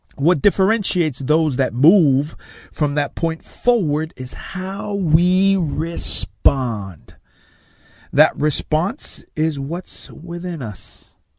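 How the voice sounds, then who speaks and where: A man with a Tongan accent, fairly high in pitch, speaking very slowly with big swings in loudness. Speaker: success coach and motivational speaker. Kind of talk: motivational talk.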